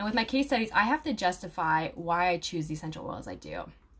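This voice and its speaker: Over noticeable background noise, a woman talks at a very fast pace with lively intonation. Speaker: aromatherapy student and video creator. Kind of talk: casual talk to viewers, live stream with comments. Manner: casual, many fillers.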